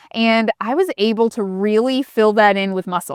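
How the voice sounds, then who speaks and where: Here a woman with a normal speaking voice talks at a fairly high pitch with ordinary variation. The recording is very clean, with a silent background and a dry, close sound with no echo. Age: 40s. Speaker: lifestyle YouTuber. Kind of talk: casual Q&A vlog. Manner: conversational.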